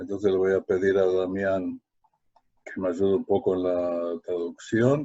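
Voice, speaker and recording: The dark, mellow tone comes at a fairly slow pace with fairly even intonation and a dry, close sound with no echo. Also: man, very deep, low pitch for a man. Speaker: lecturer, educator. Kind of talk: online lecture. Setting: live online webinar. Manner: halting, many fillers.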